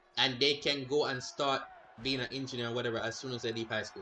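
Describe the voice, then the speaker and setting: A man of medium pitch talks very fast in a bright, sharp tone. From Jamaica. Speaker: gaming streamer. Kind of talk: casual livestream chat. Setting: live stream. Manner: animated.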